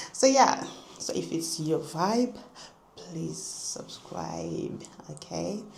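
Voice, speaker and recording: Audible room echo and noticeable background noise around a woman's speech. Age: 20s. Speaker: vlogger. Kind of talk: casual chat.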